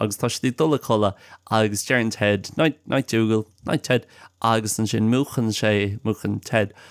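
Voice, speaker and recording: A man with an Irish accent speaks at a moderate pace in a fairly low pitch, his intonation fairly even, on a very clean recording with a silent background. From Ireland. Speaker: language podcast host. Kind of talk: casual chat. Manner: halting.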